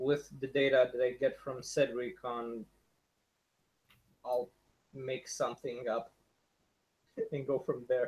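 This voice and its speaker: In a non-native accent, a man speaks at a very slow pace, somewhat breathy, at medium pitch with ordinary pitch variation. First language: not English. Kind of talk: casual chat.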